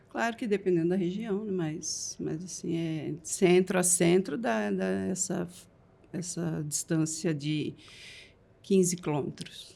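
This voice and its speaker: A woman with vocal fry talks at a very slow pace, using ordinary pitch variation. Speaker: pharmacy franchise owner. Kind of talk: podcast interview.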